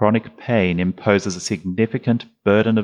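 Recorded with a dry, close sound and no echo, a man speaks in an Australian accent. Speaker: GP and podcast host. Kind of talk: moderated panel discussion.

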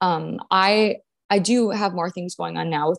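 A woman with an American accent and an unremarkable speaking voice talks at a medium pitch and a moderate pace. The sound is dry and close, with no echo. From US Upper Midwest, North Dakota. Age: 20s. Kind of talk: podcast interview, casual chat.

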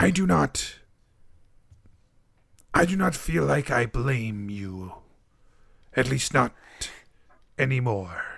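Using a put-on character voice at a medium pitch, a man speaks at a fairly slow pace. He leaves long, frequent pauses. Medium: actual play. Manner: formal, measured, no contractions.

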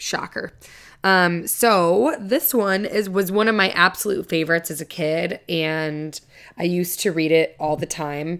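Recorded very cleanly over a silent background, a woman with a normal speaking voice talks at a fairly low pitch and fairly slow pace with ordinary pitch variation. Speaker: podcast co-host. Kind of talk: reading ghost stories aloud, campfire-style, with casual asides. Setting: home recording, solo. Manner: chatty and irreverent, breaking off with laughs and swearing.

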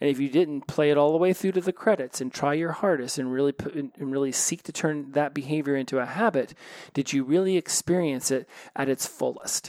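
A man talks at a fairly quick pace with a fairly high pitch. His tone is slightly mellow, and his pitch variation is ordinary.

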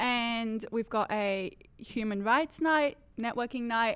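Using a plain, everyday voice, a woman talks at a fairly high pitch and a fairly slow pace. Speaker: law student, student society vice president. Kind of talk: casual chat.

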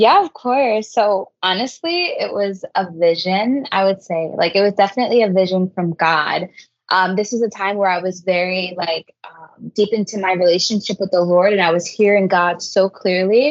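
Speaking at a moderate pace with hardly any pauses, a woman has an unremarkable speaking voice, a medium pitch and ordinary pitch variation. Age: 20s. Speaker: youth ministry coordinator. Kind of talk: interview.

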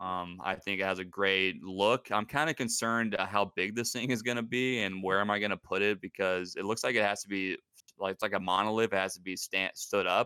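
A man with a US West Coast accent talks at a fairly quick pace with hardly any pauses. His fairly low voice has a bright, sharp tone and fairly even intonation. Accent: US West Coast American. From US Pacific Northwest. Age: 30s. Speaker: aspiring podcaster, gamer. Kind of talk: casual podcast interview.

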